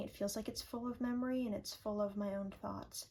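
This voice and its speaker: A woman's somewhat breathy voice sits at a medium pitch, dark and mellow in tone. Her intonation stays monotone and flat. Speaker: journaling vlogger. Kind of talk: casual vlog talk to camera. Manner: relaxed, chill.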